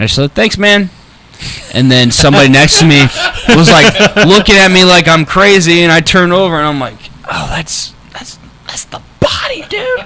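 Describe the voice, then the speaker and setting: A man at a moderate pace with very wide pitch swings, over noticeable background noise. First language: not English. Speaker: wrestling personality. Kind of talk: casual chat. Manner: halting, many fillers.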